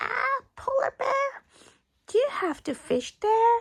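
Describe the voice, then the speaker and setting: Using a squeaky, put-on character voice at an extremely high pitch, a woman speaks at a fairly slow pace. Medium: read story. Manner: polite, apologetic.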